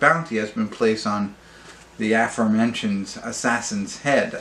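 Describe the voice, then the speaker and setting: A man's voice at a moderate pace, with very wide pitch swings and noticeable background noise. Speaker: movie reviewer. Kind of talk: casual review monologue. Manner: halting, many fillers and restarts.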